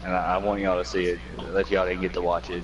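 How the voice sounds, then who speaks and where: A man speaks over noticeable background noise. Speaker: gaming league podcast co-host. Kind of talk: casual podcast chat. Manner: quiet, soft-spoken.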